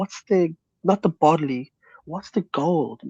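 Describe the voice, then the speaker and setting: Heard in a dry, close sound with no echo, a man with an Irish accent speaks at a high pitch in a dark, mellow tone with ordinary pitch variation. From Ireland. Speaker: guest on a livestream talk show. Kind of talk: casual chat.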